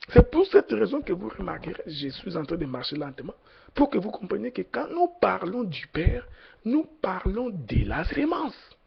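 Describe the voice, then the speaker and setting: At a fairly slow pace, the voice shows big swings in loudness over noticeable background noise. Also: man. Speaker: preacher. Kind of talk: sermon. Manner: slow, deliberate; hesitant, many fillers.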